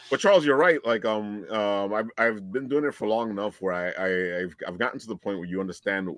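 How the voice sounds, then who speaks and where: A man with a Brooklyn accent talks at a fairly quick pace in a fairly low pitch. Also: dry, close sound with no echo. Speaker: podcast host and voiceover artist. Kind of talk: casual chat.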